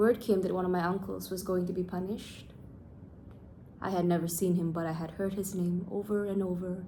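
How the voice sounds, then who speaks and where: A woman's somewhat breathy, medium-pitched voice with a dark, mellow tone and monotone, flat intonation. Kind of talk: read story. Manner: casual, unpolished reading.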